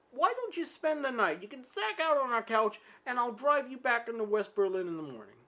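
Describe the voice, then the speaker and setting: In a put-on character voice, a woman speaks high and fairly quickly. Her pitch swings very widely and her loudness shifts a lot. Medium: solo performance. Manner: blunt, dry.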